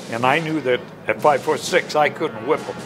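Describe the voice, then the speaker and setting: In an American accent, a man speaks at a fairly slow pace. Music is clearly heard in the background. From Michigan. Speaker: war veteran. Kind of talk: interview answer. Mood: earnest, grave recollection. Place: home room. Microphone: lapel.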